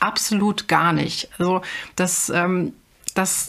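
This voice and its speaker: The woman's voice is somewhat breathy. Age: 30s. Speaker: mother and retail manager. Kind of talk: interview. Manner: hesitant, frequent filler sounds.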